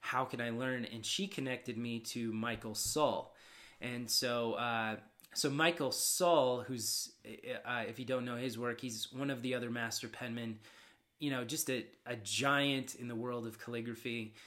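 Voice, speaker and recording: A man with a medium pitch and a bright, sharp tone. He talks at a fairly slow pace. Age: 30s. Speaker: calligrapher. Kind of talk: casual interview chat.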